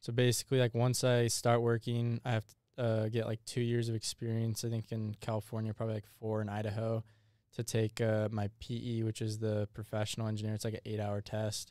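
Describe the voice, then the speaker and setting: Monotone and flat, a man's medium-pitched voice with a dark, mellow tone moves at a fairly quick pace through big swings in loudness. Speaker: engineering student. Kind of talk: casual chat. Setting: studio.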